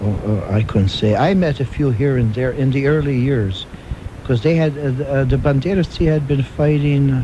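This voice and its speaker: A man with an American accent at a moderate pace, ordinary pitch variation, and noticeable background noise. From Buffalo, New York. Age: 60s. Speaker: Gulag survivor. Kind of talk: radio interview. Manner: halting, many fillers.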